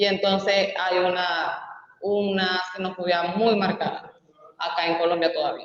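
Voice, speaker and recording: A woman with a strong Venezuelan accent speaks at a fairly slow pace and a medium pitch in a monotone, flat intonation. Her loudness stays very even, and there is audible room echo. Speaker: migrant activist. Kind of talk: panel discussion.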